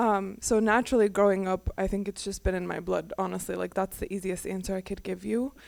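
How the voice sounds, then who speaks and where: In a normal speaking voice with an American accent, a woman talks at a medium pitch and a fairly quick pace, with hardly any pauses and fairly even intonation, on a very clean recording with a silent background. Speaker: activist and advocate. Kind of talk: panel discussion.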